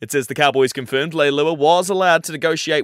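A fairly high-pitched man with an Australian accent, in a dry, close sound with no echo and a very clean recording with a silent background. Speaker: radio news reader. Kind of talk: formal regional radio newsreading, brisk bulletin delivery. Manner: crisp, even, businesslike; brisk and clear with a newsy cadence.

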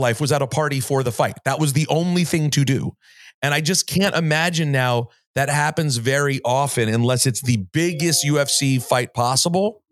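A man with an ordinary speaking voice talks at a moderate pace, his pitch fairly high and his intonation lively. Loudness stays very even on a very clean recording with a silent background. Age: 40s. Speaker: sports and music radio host, podcaster. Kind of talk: interview conversation.

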